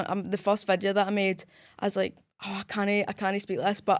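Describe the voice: A woman speaks at medium pitch with a strong Scottish accent, at a moderate pace. Her intonation is flat and monotone, and the recording is very clean with a silent background.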